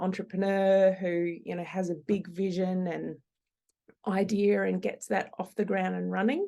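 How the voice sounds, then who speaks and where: Speaking at a fairly slow pace with an Australian accent, a woman has a dark, mellow tone at a medium pitch. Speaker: operational efficiency consultant. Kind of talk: podcast interview.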